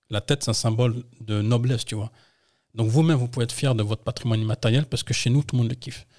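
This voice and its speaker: Over a very clean, silent background, a man talks very fast at a medium pitch, somewhat breathy, with a dark, mellow tone and fairly even intonation, the sound dry and close with no echo. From France, Yvelines (78), Paris suburbs. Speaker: entrepreneur, former football coach. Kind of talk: interview.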